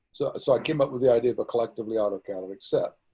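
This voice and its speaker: A man talks with a dark, mellow tone and a somewhat breathy quality. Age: 80s+. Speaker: origin of life researcher. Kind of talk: interview answer.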